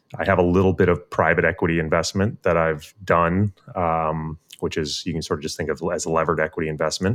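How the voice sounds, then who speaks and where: A man with an American accent and a very deep, low pitch, at a fairly quick pace against a quiet background. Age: 30s. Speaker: quantitative fund manager. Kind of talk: interview.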